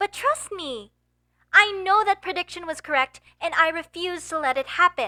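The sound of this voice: Putting on a character voice, a woman talks at an extremely high pitch with a bright, sharp tone and lively intonation. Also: moderate pace.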